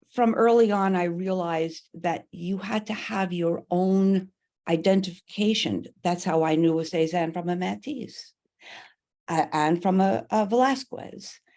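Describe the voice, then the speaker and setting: A woman's dark, mellow, medium-pitched voice with an American accent at a fairly slow pace, over a quiet background. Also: ordinary pitch variation. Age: 80s+. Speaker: artist. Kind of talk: panel discussion.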